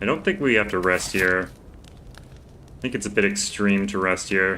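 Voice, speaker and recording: Here is a man with an ordinary speaking voice, pitched fairly low. His pace is moderate and his pitch variation ordinary. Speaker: gaming streamer. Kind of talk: live gameplay commentary.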